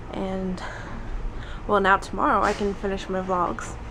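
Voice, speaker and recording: A woman speaks at a moderate pace with ordinary pitch variation. Noticeable background noise and audible room echo surround her voice. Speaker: vlogger. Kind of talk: casual vlog. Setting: outdoors in the shade. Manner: hesitant, many fillers.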